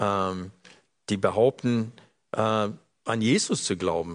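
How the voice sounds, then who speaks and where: Against a quiet background, a man speaks at a very slow pace. His fairly low voice shows ordinary pitch variation. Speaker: preacher. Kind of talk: sermon.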